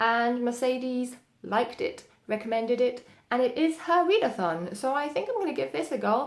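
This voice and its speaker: A woman is speaking. Her pitch swings very widely. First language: German. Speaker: booktuber. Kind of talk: casual vlog monologue. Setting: home, sitting indoors. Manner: casual with frequent fillers.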